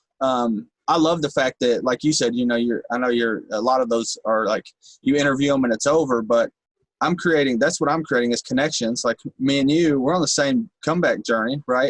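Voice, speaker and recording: Speaking at a fairly quick pace, a man with a medium pitch keeps his loudness very even and his pitch variation ordinary, in a dry, close sound with no echo. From Kentucky, Bowling Green area (rural). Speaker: rapper, recovering addict. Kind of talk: podcast interview. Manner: animated.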